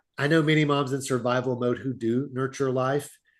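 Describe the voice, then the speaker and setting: In a plain, everyday voice, a man speaks at a moderate pace with medium pitch. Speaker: fatherhood mentor. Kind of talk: interview. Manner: casual, conversational.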